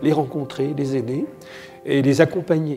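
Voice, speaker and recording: A man speaks with a fairly high pitch and vocal fry. His tone is dark and mellow, and his pace is moderate. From France, Morvan (Burgundy). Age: 70s. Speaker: association founder, volunteer. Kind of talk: interview testimony.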